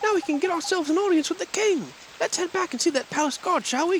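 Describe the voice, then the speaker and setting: Over clear background noise, a man rattles off words at a very fast pace in a squeaky, put-on character voice at an extremely high pitch. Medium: game stream. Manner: colloquial, folksy.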